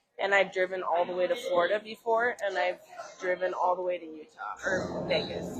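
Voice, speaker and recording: Against noticeable background noise, a woman with an American accent speaks fairly quickly at medium pitch with fairly even intonation. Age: 30s. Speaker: podcast host. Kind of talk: casual chat. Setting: cannabis lounge.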